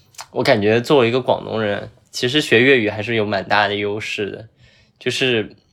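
On a very clean recording with a silent background, a man with an ordinary speaking voice and medium pitch talks at a moderate pace with fairly even intonation. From Zhuhai, Guangdong. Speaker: podcast host. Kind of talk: casual chat.

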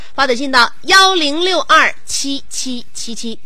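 Amid noticeable background noise and audible room echo, a woman uses a raised, projected voice at a high pitch with very wide pitch swings. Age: 30s. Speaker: radio host. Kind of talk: casual radio chat.

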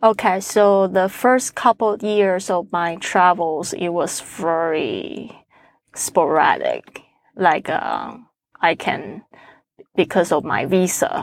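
A woman's medium-pitched voice with a Chinese accent, very slow pace and ordinary pitch variation, on a very clean recording with a silent background. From Taiwan. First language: Mandarin Chinese. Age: 40s. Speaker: podcaster. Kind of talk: interview. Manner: halting, many fillers.

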